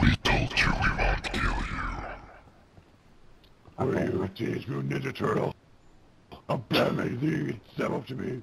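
Raspy and fairly low in pitch, a man moves at a moderate pace with very wide pitch swings and long, frequent pauses. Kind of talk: comic overacting, gruff superhero parody. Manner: pompous, boastful, interrogating.

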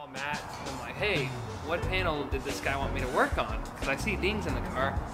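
A man speaks over loud background music. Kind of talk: interview answer. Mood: amused, storytelling. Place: garage.

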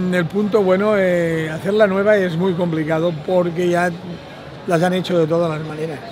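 Over crowd noise in the background, a man with a high pitch talks slowly in a monotone, flat delivery, leaving long, frequent pauses. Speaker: bar owner. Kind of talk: documentary interview. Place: street.

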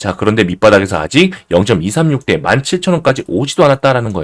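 A man talks at a fairly quick clip in a medium register with vocal fry, his pitch swinging very widely, in a dry, close recording with no echo. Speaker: crypto trading YouTuber. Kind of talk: market analysis video. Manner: animated.

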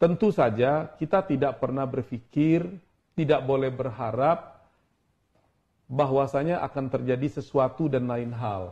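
A man's dark, mellow, somewhat breathy voice at a fairly slow pace over a quiet background. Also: ordinary pitch variation. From South Sumatra, Indonesia. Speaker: ambassador; guest. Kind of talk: casual interview. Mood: relaxed, friendly. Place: office.

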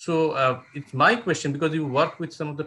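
A man's fairly high, bright, sharp voice at a moderate pace. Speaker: professor and moderator; professor, moderator. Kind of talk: formal introduction. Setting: video call. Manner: formal. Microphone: video call.

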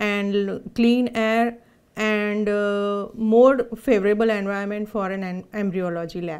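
Against a quiet background, a woman with a Gujarati accent speaks very slowly in a fairly high voice with fairly even intonation. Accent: Indian English (Gujarati). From India, Surat (Gujarat); Gujarat, India. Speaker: clinical embryologist; embryologist instructor. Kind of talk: presentation. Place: studio.

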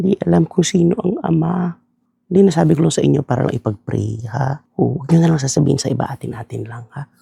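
The man's pitch is fairly high and swings very widely. He talks at a very fast pace. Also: dry, close sound with no echo. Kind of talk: gossip disguised as a prayer request, comedic skit. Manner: repetitive, sanctimonious, overly earnest.

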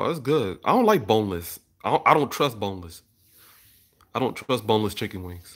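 A man's fairly quick speech with lively intonation, long, frequent pauses and a quiet background. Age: 30s. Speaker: YouTuber and beat maker; YouTuber. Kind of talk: casual livestream chat with viewers. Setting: livestream from home, camera. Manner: casual, conversational. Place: home room. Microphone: phone near.

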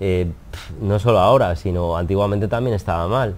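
At a moderate pace, this dark, mellow tone carries ordinary variation in pitch. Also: man. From Spain. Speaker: wedding photographer; interviewee. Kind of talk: interview. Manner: hesitant, repetitive. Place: studio. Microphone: lapel.

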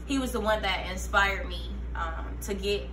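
Noticeable background noise sits behind a woman whose very deep, low voice stays monotone and flat. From Fayetteville, North Carolina. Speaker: rapper and military veteran. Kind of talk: casual interview. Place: shop. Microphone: camera far.

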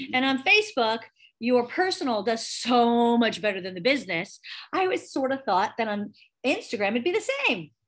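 A woman speaks at a moderate pace in a high voice. Faint music plays in the background. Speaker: online class instructor. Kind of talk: tutorial. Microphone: video call.

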